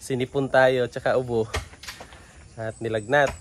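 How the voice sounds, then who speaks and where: A man's flat, monotone delivery at a moderate pace. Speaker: vlogger. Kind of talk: casual vlog. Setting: at home.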